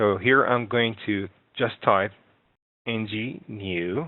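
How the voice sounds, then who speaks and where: A man's fairly low voice with a non-native accent, fairly slow pace and ordinary pitch variation. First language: not English. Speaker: software instructor. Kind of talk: tutorial. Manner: halting.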